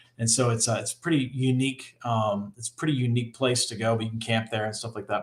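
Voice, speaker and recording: A man with a Northeastern US accent, very fast pace and fairly even intonation. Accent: Northeast US. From Rhode Island, US Northeast. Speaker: engineering professor. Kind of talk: casual chat. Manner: halting, many fillers.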